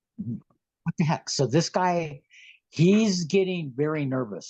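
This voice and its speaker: A man is heard in a dry, close recording with no echo, with music in the background. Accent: American. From San Francisco Bay Area, California. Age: 60s. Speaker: guest sharing alien contact experiences. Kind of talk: casual interview storytelling. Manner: talkative, animated.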